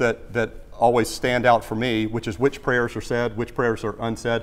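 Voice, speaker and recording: Fairly quick male speech in a Southern US accent. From US South, South Carolina (Greenville). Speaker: former TV executive and plane crash survivor speaking at church. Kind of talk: church talk Q&A. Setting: church with audience. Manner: halting, many repetitions and fillers.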